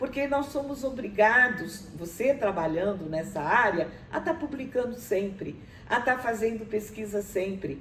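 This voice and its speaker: Over noticeable background noise, a woman speaks at a fairly slow pace. Her fairly high pitch moves with lively intonation. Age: 70s. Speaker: university professor. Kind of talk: interview. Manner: halting, many fillers.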